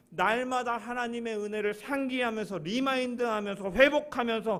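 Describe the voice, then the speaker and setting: A man with an extremely high pitch speaks with ordinary pitch variation. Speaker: pastor. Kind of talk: sermon. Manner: fast.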